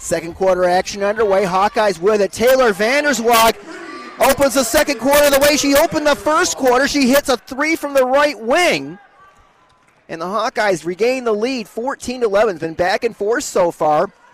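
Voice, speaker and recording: Against noticeable background noise, a man speaks in an animated tone at an extremely high pitch with lively intonation. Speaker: radio sports play-by-play announcer. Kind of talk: live play-by-play radio commentary, rapid ball-by-ball calls of a girls basketball game; radio broadcast, pregame intro and ads. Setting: courtside at a high school gym, broadcast on local radio.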